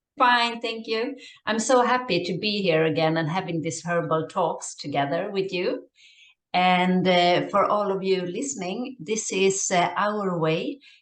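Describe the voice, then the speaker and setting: In a room with audible echo, a woman with a fairly low pitch speaks at a fairly slow pace with ordinary pitch variation. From Sweden. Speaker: herbalist podcast host. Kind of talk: casual chat. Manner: hesitant with fillers.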